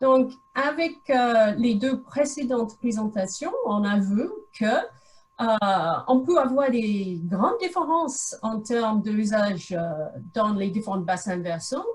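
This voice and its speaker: A woman's fairly high voice in an English accent, very slow, with very wide pitch swings. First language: English (speaking French). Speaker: researcher. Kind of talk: lecture. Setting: video call. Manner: halting.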